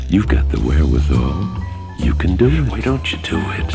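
Moderate pace from a man with a very deep, low pitch, clear music in the background. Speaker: voice actor. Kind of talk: TV commercial read. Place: studio.

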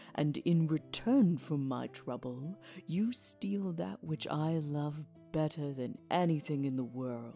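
A put-on character voice at a low-to-middle pitch, fairly slow, with clear music in the background. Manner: angry, accusing.

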